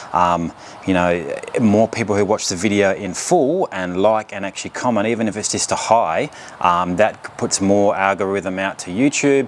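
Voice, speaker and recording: Noticeable background noise accompanies a man with a fairly low voice speaking at a moderate pace with ordinary pitch variation. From England. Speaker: car YouTuber. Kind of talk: casual vlog talk to camera. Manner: hesitant, many fillers.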